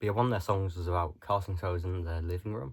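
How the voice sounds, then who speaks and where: A man with a very deep, low voice speaks in a somewhat breathy way with fairly even intonation, on a very clean recording with a silent background. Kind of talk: casual talk to camera. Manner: rambling, hesitant.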